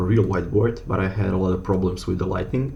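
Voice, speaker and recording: A man with a non-native accent and ordinary pitch variation, amid noticeable background noise and audible room echo. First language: not English. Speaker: educational YouTuber. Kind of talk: tutorial. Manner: halting, with fillers.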